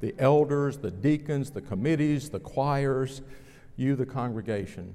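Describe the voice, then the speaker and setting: A man with an American accent, a moderate pace and ordinary pitch variation. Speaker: pastor. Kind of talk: sermon. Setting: church.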